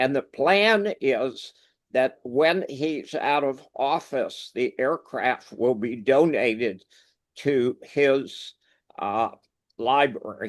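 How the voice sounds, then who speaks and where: A man with an American accent, very slow delivery, fairly high pitch, ordinary pitch variation, and a quiet background. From US Northeast, New York. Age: 70s. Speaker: war veteran and resource investor. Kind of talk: interview.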